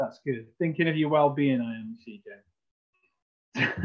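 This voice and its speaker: Speaking in a Welsh accent, a man varies his pitch in an ordinary way. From Wales, Cardiff. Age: 40s. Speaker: golf club general manager. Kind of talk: presentation.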